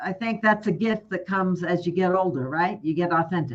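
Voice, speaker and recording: Her pitch fairly low with ordinary variation, a woman speaks in an ordinary speaking voice. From Texas. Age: 60s. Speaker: life coach. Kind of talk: casual chat.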